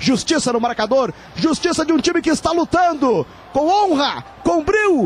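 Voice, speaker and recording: At a moderate pace, a man with an extremely high pitch talks with ordinary pitch variation in a dry sound with no echo. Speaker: radio sports commentator. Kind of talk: live football commentary. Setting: stadium broadcast, live radio. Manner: dramatic, passionate and partisan, building the feeling of a historic comeback. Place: booth.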